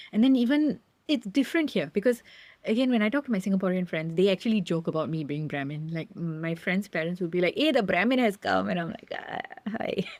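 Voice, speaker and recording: Her pace is very fast. The woman's pitch is medium, and her intonation is lively. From Singapore. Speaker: theater maker. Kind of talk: podcast interview. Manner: halting.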